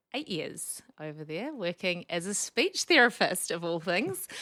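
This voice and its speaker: A woman speaks in a strong New Zealand accent at a fairly low pitch. Her tone is bright and sharp, and her pace is moderate. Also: very clean recording, silent background. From New Zealand, Wellington. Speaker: speech pathologist. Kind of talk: podcast interview.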